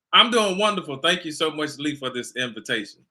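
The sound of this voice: A bright, sharp voice at a fairly quick pace, with an American accent. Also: man, fairly high pitch for a man, lively intonation.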